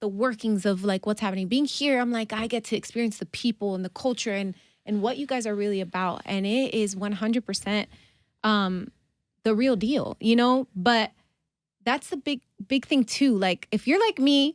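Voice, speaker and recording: An animated woman with an American accent, fairly high in pitch with ordinary variation, at a moderate pace, in a dry, close recording with no echo and a silent background. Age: 30s. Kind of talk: casual interview chat.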